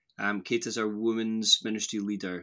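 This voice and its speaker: In a west of Scotland accent, a man speaks at a medium pitch. His pace is moderate. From Scotland, near Glasgow. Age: 30s. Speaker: pastor. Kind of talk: casual chat.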